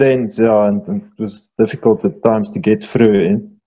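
Very wide pitch swings mark this fairly quick delivery in a South African accent. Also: man. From Eastern Free State, South Africa. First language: Afrikaans. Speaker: farmer and mountain guide. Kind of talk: casual chat. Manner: halting.

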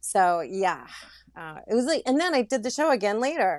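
The pace is very fast as a woman speaks. Pitch swings very widely throughout. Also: very clean recording, silent background. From Louisiana. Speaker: former reality show contestant and actress. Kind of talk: interview. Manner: casual, many fillers.

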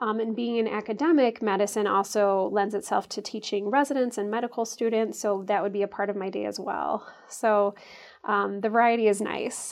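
Her Midwestern American accent comes through as a woman speaks at a fairly quick pace. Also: medium pitch for a woman. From US Midwest, Chicago suburbs. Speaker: obstetrician gynecologist. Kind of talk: interview. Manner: frequent filler ums.

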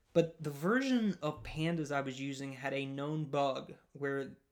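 A man's fairly high voice in a Southern US accent, with fairly even intonation. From rural US Southeast (Louisiana area). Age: 20s. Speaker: podcast host, software developer. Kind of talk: solo monologue podcast.

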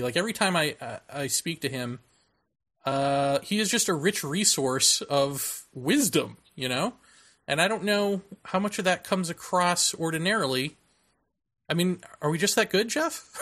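A man's high-pitched, raised and projected voice with a bright, sharp tone, at a moderate pace on a very clean recording with a silent background. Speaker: podcast host. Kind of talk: casual chat.

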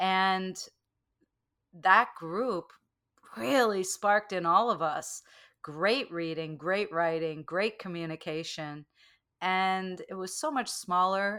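On a very clean recording with a silent background, a woman with a medium pitch and a bright, sharp tone speaks at a very slow pace with ordinary pitch variation and long, frequent pauses. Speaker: meditation teacher and author. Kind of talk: casual interview. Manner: animated.

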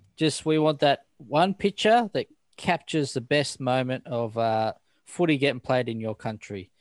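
With an Australian accent, a man speaks at a moderate pace and a fairly high pitch with lively intonation, in a dry, close recording with no echo and a quiet background. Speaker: podcast host. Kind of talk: casual chat.

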